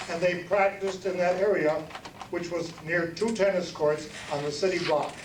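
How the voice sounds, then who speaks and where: Over noticeable background noise and with audible room echo, the speech moves at a moderate pace. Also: man. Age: 70s. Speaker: alumnus and award donor. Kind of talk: awards ceremony speech.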